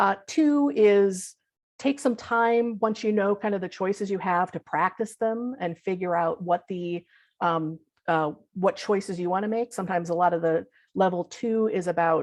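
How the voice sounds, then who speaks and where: A woman with a plain, everyday voice speaks at a medium pitch and moderate pace, with ordinary pitch variation and a quiet background. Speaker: visual thinking facilitator and teacher. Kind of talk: online talk / workshop presentation. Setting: video call.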